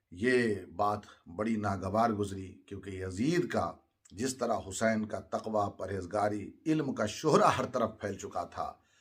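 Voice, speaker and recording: Somewhat breathy, a man speaks in a fairly low voice. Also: ordinary pitch variation, very clean recording, silent background. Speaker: Islamic religious speaker. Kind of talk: Urdu sermon narrating Karbala history.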